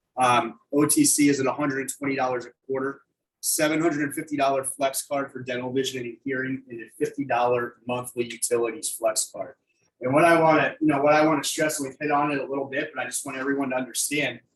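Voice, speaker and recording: A man talks at a very fast pace in a monotone with flat intonation. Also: fairly high pitch for a man. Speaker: insurance sales trainer. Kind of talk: business presentation; Q&A answers. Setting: video call.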